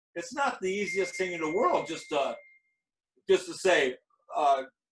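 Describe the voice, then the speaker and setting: A man with an American accent at a moderate pace, his pitch swinging very widely. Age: 70s. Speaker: martial arts master. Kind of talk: interview. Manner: halting.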